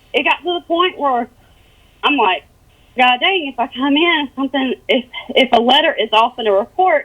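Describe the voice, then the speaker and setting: Amid noticeable background noise, a woman speaks at a high pitch and a moderate pace, with lively intonation and long, frequent pauses. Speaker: police officer under internal investigation. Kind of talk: interview testimony. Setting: phone call. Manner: mumbling.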